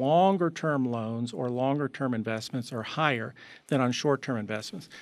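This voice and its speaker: Speaking at a moderate pace with lively intonation, a man has a normal speaking voice at a fairly high pitch, on a very clean recording with a silent background. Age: 60s. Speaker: economics professor. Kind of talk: interview.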